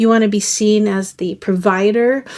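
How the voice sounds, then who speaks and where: A woman's monotone, flat delivery. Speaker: tarot reader. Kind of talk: tarot reading to camera. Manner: casual, conversational.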